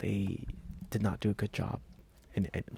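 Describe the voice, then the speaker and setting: A soft-spoken man with a fairly low pitch and vocal fry, talking at a fairly quick pace in a dry, close sound with no echo. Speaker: toy collector YouTuber. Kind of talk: soft-spoken ASMR talk. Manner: halting with fillers.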